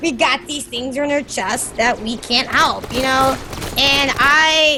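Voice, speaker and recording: A woman speaks very slowly in a raised, projected, high-pitched voice. Her intonation is fairly even over noticeable background noise. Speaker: variety game streamer. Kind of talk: casual chat while gaming.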